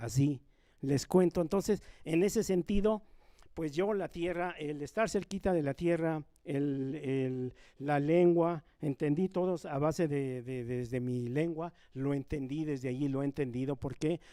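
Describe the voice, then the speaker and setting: With a Mexican accent and a dark, mellow tone, a man with a fairly high pitch talks at a fairly slow pace. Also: ordinary pitch variation. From rural Nahua community in Mexico. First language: Nahuatl (speaking Spanish). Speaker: Nahuatl speaker on a university panel. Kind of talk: panel talk. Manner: repetitive, emphatic.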